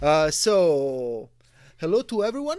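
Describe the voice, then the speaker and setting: A man speaks with an Italian accent at a fairly slow pace. His pitch swings very widely. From Italy. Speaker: game shop owner and game author. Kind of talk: interview. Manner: halting.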